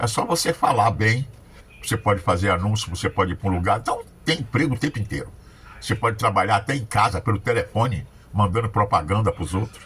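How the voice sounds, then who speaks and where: The pitch of this man's voice is fairly low. He speaks at a very fast pace. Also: ordinary pitch variation. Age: 70s. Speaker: accountant and motivational speaker. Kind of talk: casual political commentary monologue.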